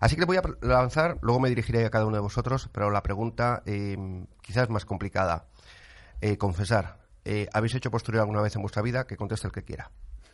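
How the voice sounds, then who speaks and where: A man speaks at a very fast pace with a fairly low pitch and ordinary pitch variation. The background is quiet. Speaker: radio host. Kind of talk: radio talk show. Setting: studio. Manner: animated.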